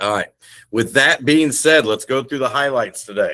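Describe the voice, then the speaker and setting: A man speaks with an Indiana accent. His tone is animated, and his pitch varies in an ordinary way. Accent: Midwestern (Hoosier). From Indiana, US Midwest. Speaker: sales director. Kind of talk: business presentation. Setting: video call.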